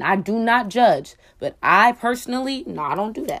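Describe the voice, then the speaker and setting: On a very clean recording with a silent background, a woman speaks in an animated tone at a moderate pace. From Oakland, California. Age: 20s. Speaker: podcast host. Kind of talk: casual solo monologue.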